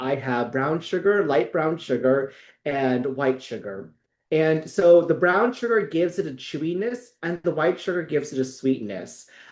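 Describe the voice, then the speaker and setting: A man with an ordinary speaking voice and a fairly high pitch talks at a moderate pace with lively intonation. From US, Filipino immigrant family. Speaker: friar and baker. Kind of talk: cooking tutorial. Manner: casual with fillers.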